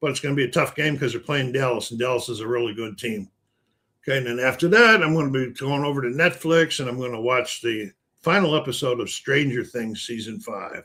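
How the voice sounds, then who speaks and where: A man with an American accent speaks at a fairly quick pace and medium pitch, his bright, sharp tone showing ordinary pitch variation. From Buffalo, New York, US. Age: 70s. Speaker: gaming streamer. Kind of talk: casual live stream chat. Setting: live stream.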